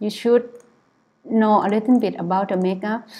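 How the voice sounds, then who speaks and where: A soft-spoken woman with a monotone, flat delivery. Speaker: photographer. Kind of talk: tutorial. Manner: halting.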